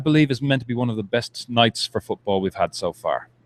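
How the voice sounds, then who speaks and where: Lively intonation at a fairly quick pace, in an Irish accent, with a dry, close sound and no echo. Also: man. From Ireland. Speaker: soccer supporters' group representative. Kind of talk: casual interview. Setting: live at a brewery.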